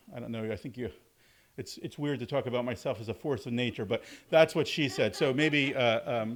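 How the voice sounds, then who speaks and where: In a very clean recording with a silent background, a man with an American accent talks at a fairly quick pace, his medium pitch showing ordinary variation. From US South, southern Alabama. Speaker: university lecturer and author. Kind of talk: public talk at a store event. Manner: many fillers and repetitions; loud.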